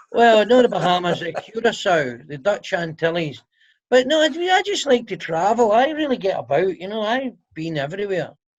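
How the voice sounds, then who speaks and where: Speaking with a Scottish accent, a man uses a high voice with very wide pitch swings and big swings in loudness. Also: moderate pace. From Scotland. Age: 50s. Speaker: comedian. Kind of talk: casual chat. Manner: animated.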